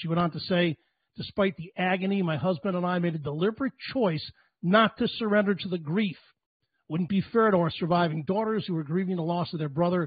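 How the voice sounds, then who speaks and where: Over a quiet background with a dry sound and no echo, a man speaks at a high pitch with ordinary pitch variation. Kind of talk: speech to a remote event. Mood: somber, earnest. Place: home room. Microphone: handheld.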